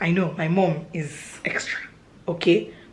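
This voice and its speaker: A woman at a medium pitch speaks with monotone, flat intonation, and audible room echo surrounds her voice. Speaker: vlogger. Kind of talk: vlog talk to camera. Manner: casual, chatty.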